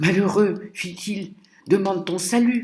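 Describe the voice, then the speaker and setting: In a put-on character voice, a man whispers at a fairly slow pace. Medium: read story. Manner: whispering, urgent.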